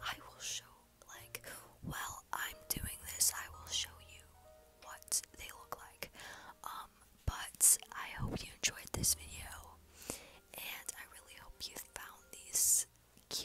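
Whispering over background music, a woman goes at a very slow pace with long, frequent pauses and big swings in loudness. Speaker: vlogger. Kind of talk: casual talk to camera. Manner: whispered. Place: home room. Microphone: earbuds.

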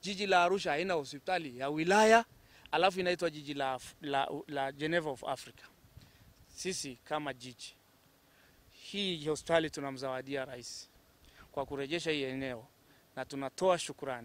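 In a dry recording with no echo, a man with a fairly high voice talks at a moderate pace, his loudness swinging widely, with ordinary pitch variation and long, frequent pauses. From Tanzania. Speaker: city official. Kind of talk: interview. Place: street. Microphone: handheld.

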